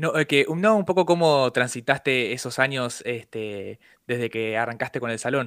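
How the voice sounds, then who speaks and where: On a very clean recording with a silent background, a man uses an ordinary speaking voice at medium pitch and a fairly slow pace, with ordinary pitch variation. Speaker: radio host. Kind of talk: casual chat.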